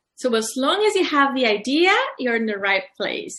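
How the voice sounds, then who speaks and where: A woman with a Mexican accent talks at a moderate pace in a bright, sharp tone, her pitch swinging very widely. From Mexico, Colima. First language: Spanish. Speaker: publisher and author. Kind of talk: interview. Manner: halting.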